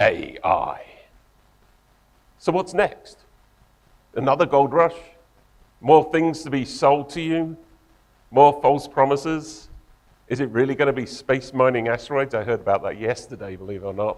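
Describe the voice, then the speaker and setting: A man with an English accent, fairly high in pitch, with long, frequent pauses. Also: ordinary pitch variation, moderate pace. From England. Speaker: tech company co-founder and engineer. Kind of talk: conference talk.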